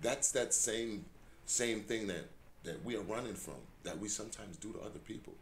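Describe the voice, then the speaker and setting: Audible room echo surrounds a man talking at a fairly quick pace. His pitch is medium, with vocal fry. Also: ordinary pitch variation. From Jamaica, raised in Englewood, New Jersey. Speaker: community organizer and fitness trainer. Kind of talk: casual podcast conversation.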